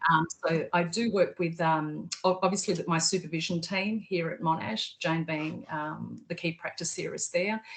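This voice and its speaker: Speaking at a moderate pace, a woman with an Australian accent uses a fairly low pitch and fairly even intonation. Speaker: PhD candidate, researcher. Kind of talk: video call interview. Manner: hesitant, many fillers.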